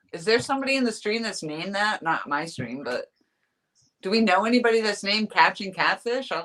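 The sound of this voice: Vocal fry, very wide pitch swings, and a bright, sharp tone. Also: woman.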